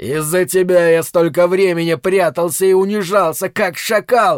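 A man uses a put-on character voice at high pitch, with ordinary pitch variation and a moderate pace. His loudness stays very even in a dry, close sound with no echo, and the recording is very clean with a silent background. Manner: raging, furious.

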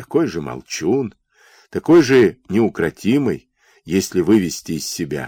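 A quiet background surrounds someone reading aloud in a natural voice.

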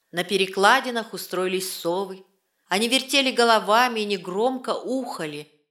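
In a quiet background, someone is reading aloud in a natural voice with ordinary pitch variation.

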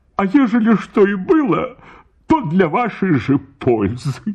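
A man speaks in a put-on character voice, high-pitched with a slightly husky edge and slightly mellow tone. His pitch swings widely at a fairly slow pace.

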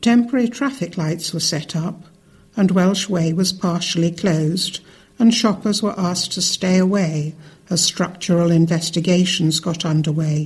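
At a moderate pace, a woman talks with a fairly low pitch, ordinary pitch variation and a somewhat breathy quality. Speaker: news reader. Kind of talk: news reading.

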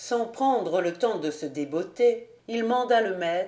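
Words are read aloud in a natural voice.

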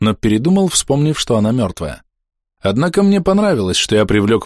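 Over a quiet background comes plain reading aloud.

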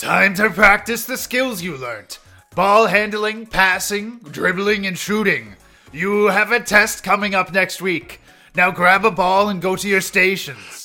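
In a put-on character voice, the speaker talks at a fairly slow pace over faint music in the background. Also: man, high pitch for a man.

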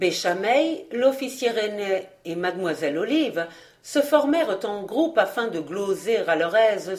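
Lively intonation marks an unforced reading voice.

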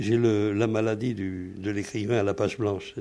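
This man's voice has a dark, mellow tone. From France (Paris, then Toulouse from age 13). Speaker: WWII resistance veteran. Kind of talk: testimony. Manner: halting.

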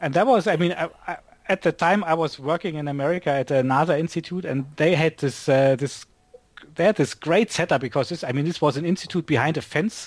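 At a fairly quick pace, a man with a German accent speaks in a fairly high pitch with ordinary pitch variation. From Germany, Berlin. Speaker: astronomer and software developer. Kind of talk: casual interview chat.

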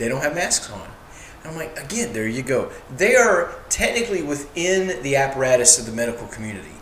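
A man talks at a fairly quick pace in a fairly high voice, his pitch swinging very widely. His loudness shifts a lot, and there is noticeable background noise. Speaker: podcast co-host. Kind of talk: casual chat. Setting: at home, recording at a table.

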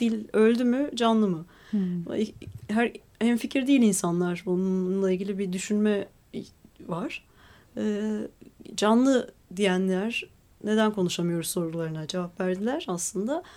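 A woman speaks at a fairly slow pace with a dark, mellow tone and medium pitch. Her intonation varies in an ordinary way, broken by long, frequent pauses. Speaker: lawyer and writer. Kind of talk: radio interview.

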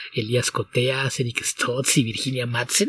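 This man's voice sits at a medium pitch, somewhat breathy, recorded dry and close with no echo. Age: 40s. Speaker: comics podcast co-host and translator. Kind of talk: casual chat.

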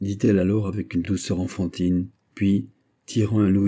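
Against a quiet background, the speech is plain reading aloud.

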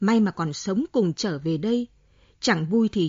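A passage is read aloud in a natural voice.

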